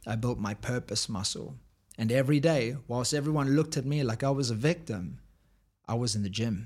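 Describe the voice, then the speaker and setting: Speaking with a South African accent, a man sounds somewhat breathy, with ordinary pitch variation and a fairly quick pace. The recording is very clean, with a silent background. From South Africa, Cape Town. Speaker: high performance coach and author. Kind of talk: casual interview. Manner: animated, motivational.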